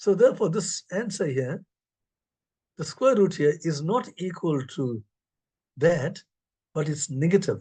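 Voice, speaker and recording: A man speaks in a high pitch with a dark, mellow tone. His pitch swings very widely. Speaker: mathematics professor. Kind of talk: lecture. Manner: fast.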